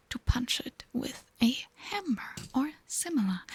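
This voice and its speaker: The speech is whispered at a very slow pace. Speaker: ASMR streamer. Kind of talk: casual live stream chat. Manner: soft-spoken.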